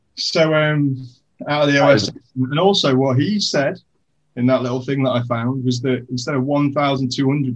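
Somewhat breathy speech in a British accent, moderate pace and ordinary pitch variation. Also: man. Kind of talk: casual chat.

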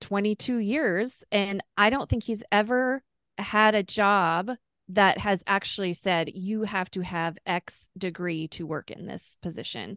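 In a plain, everyday voice, the speaker talks at a fairly slow pace with ordinary pitch variation, over a quiet background with a dry, close sound and no echo. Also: woman. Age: 40s. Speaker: homeschooling mother. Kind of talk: casual chat.

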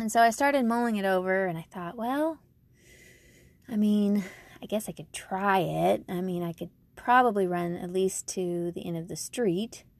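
On a very clean recording with a silent background, a woman speaks in an unremarkable speaking voice with ordinary pitch variation. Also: medium pitch for a woman, moderate pace. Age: 40s. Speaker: podcast host. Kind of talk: personal story monologue.

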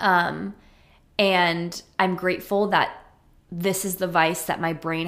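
A woman's voice at a fairly low pitch. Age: 20s. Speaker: podcast host and social media creator. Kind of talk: casual solo podcast chat. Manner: animated.

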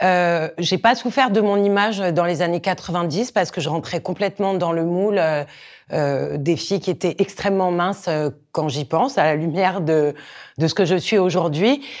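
Recorded very cleanly with a silent background, a woman talks at a moderate pace in a fairly low pitch with ordinary pitch variation. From Corsica. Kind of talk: interview testimony. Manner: hesitant, many fillers and repetitions.

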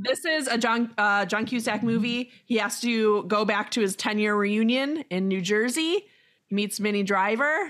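Recorded very cleanly against a silent background, a woman uses a normal speaking voice at a fairly high pitch and moderate pace, with ordinary pitch variation. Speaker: podcast host. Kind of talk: casual interview chat.

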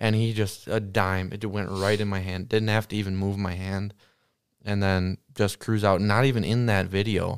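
Here is a plain, everyday voice from a man with an American accent. He has a fairly low pitch and keeps a moderate pace. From Wisconsin. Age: 20s. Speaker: guest, hunter. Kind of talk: casual chat. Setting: studio.

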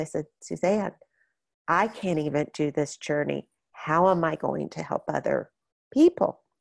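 The speaker has an American accent and a moderate pace. The sound is dry and close with no echo over a quiet background. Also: woman. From Florida. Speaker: bereaved parent and support group leader. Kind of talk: interview.

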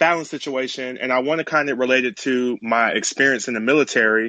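Over a quiet background, a man with a fairly high pitch speaks at a fairly quick pace. He has an ordinary speaking voice with ordinary pitch variation. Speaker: caller, military veteran. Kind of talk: casual chat. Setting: online live audio room.

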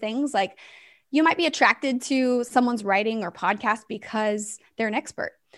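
A woman with an American accent speaks at a high pitch against a quiet background. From US West Coast. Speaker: ministry founder. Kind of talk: casual interview.

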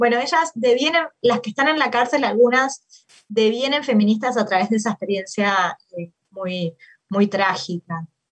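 In a dry, close sound with no echo, a woman speaks with a Uruguayan accent. Her pitch is fairly high, her pace moderate and her intonation lively. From Uruguay, Maldonado. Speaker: political science professor and researcher. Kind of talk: interview about her book. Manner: hesitant with fillers.

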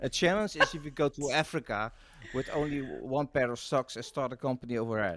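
A man's fairly high-pitched voice with a Dutch accent and lively intonation, at a moderate pace, in a dry, close sound with no echo. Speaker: marketing and PR consultant, podcast co-host. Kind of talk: casual interview chat. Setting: video call. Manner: halting, many repetitions.

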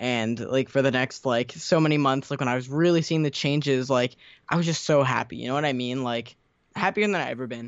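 Using an ordinary speaking voice, a man at medium pitch talks at a fairly quick pace with ordinary pitch variation. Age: under 20 (18). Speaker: YouTuber. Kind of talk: casual interview.

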